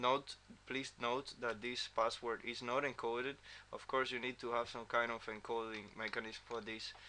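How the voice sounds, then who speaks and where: A man with a non-native accent speaks at a medium pitch and a moderate pace. His tone is bright and sharp, his intonation monotone and flat. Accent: non-native English pronunciation. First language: not English. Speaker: software developer. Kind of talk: tutorial. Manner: halting, many fillers and repeats.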